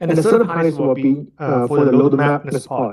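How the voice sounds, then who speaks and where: A man with a Chinese accent and a dark, mellow tone. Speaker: product presenter. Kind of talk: technical presentation. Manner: halting, many fillers.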